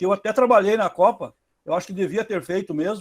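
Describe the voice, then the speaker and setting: Speech comes at a fairly quick pace on a very clean recording with a silent background. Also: man. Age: 60s. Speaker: adult evening student. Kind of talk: class discussion.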